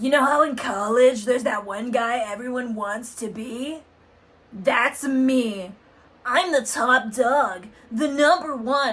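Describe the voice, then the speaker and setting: In a put-on character voice, a woman speaks high, gravelly and strained at a fairly slow pace. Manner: cocky, boastful.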